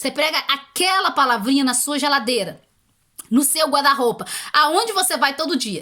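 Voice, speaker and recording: A woman uses a raised, projected voice. She speaks high-pitched at a fairly quick pace. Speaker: YouTuber giving language-learning tips. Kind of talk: casual advice video.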